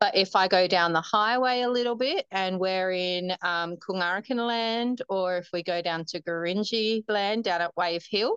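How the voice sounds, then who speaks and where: In an Australian accent, a woman speaks at a fairly slow pace with ordinary pitch variation, and the dry, close sound has no echo over a quiet background. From Northern Territory, Australia (Darwin). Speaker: marathon runner. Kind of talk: interview.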